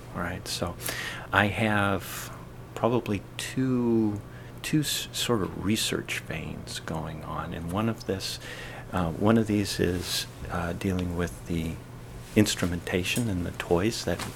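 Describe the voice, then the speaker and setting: A man with an American accent and a very deep, low voice speaks at a very slow pace with ordinary pitch variation. Room echo and background noise are both noticeable. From Eastern Washington State, US. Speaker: oceanographer. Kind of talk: interview. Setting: basement workshop. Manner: halting.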